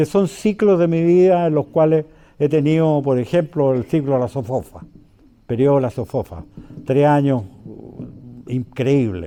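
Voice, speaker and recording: A man speaks in a dark, mellow tone with lively intonation. He goes at a fairly slow pace with long, frequent pauses. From Chile. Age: 80s+. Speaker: former business leader and government economic official. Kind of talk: public talk to an audience. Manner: halting, with many fillers.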